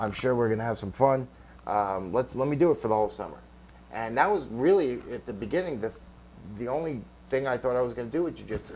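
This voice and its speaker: A man talks with a New York accent. His pace is very fast. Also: medium pitch for a man, lively intonation. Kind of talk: interview. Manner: halting, many repeated words.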